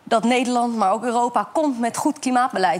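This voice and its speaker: Very rapid delivery from a woman, her voice fairly high, its pitch moving in a normal way. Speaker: climate activist. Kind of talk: talk show interview. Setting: studio with audience.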